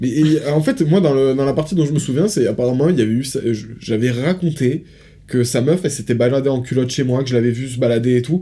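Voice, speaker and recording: Very fast speech comes from a man with a dark, mellow tone. He sounds somewhat breathy, with ordinary pitch variation. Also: medium pitch for a man. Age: 20s. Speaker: podcast co-host. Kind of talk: casual chat.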